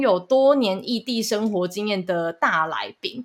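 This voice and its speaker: A woman speaks in a plain, everyday voice at a fairly high pitch. Her intonation is lively. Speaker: podcast producer and co-host, student abroad. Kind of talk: casual chat.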